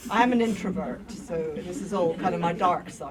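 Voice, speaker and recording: A woman speaks at a moderate pace with lively intonation over noticeable background noise. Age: middle-aged. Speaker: mental health service user and activist. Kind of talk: talk to an audience. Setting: lecture room with audience. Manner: loud; informal, digressive. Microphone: no microphone, speaking unamplified.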